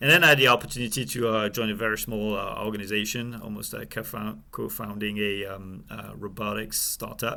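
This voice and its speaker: A man speaks with a French accent. His tone is bright and sharp, with vocal fry. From France. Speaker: supply chain executive. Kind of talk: interview. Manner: halting, many fillers.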